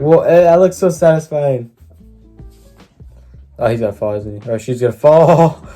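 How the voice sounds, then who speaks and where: Lively intonation from a man at a fairly high pitch, moderate pace and long, frequent pauses, with music in the background. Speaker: YouTube reactor. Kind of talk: casual reaction commentary.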